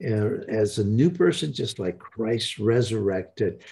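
Against a quiet background, a man speaks very slowly in a dark, mellow, somewhat breathy tone. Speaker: broadcast host and evangelist. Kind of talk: live-streamed prayer broadcast with a ministry intro. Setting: online broadcast. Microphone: webcam.

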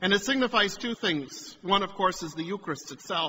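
Moderate pacing and lively intonation from a man. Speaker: priest. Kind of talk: sermon. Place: church.

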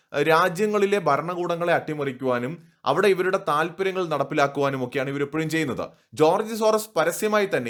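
A man with a fairly high pitch has an ordinary speaking voice. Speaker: news commentator. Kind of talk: political commentary monologue.

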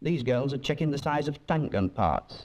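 A man's voice with vocal fry, at a moderate pace. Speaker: documentary narrator. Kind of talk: 1940s wartime documentary film narration. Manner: formal, measured, authoritative; steady and declamatory, with clipped period diction. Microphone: old recording.

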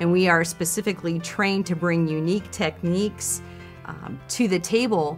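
The voice moves up and down in pitch the ordinary amount, with faint music in the background. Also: woman. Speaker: professional auctioneer. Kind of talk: interview answer.

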